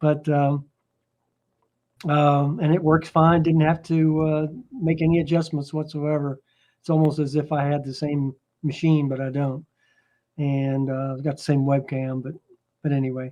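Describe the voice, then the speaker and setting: A man speaks at a fairly high pitch in a dark, mellow tone. His intonation is monotone and flat, with long, frequent pauses. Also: moderate pace. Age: 70s. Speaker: Linux user group member. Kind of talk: casual chat.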